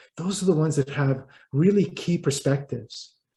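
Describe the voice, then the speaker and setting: A man's dark, mellow voice, somewhat breathy, with ordinary pitch variation and a fairly quick pace. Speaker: writer and business consultant. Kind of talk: interview. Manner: halting, repeats words.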